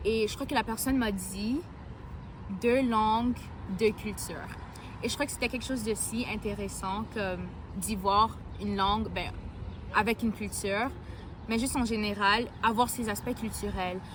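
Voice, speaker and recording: Talking at a fairly slow pace with long, frequent pauses, a woman has a fairly high pitch, vocal fry and fairly even intonation. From Alberta, Edmonton (born in Cameroon). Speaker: university student, youth ambassador. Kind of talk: interview. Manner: hesitant, filler-heavy.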